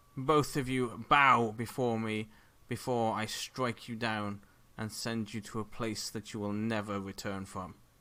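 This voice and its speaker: A man does a booming, put-on character voice at a medium pitch and a moderate pace. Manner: shouting, threatening.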